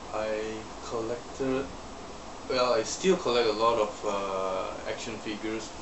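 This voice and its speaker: A man of medium pitch, with long, frequent pauses and noticeable background noise. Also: ordinary pitch variation, fairly slow pace. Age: 20s. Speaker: vlogger. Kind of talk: casual talk to camera; casual vlog chat. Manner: quiet, low volume; slurred, mumbling. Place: home room. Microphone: webcam.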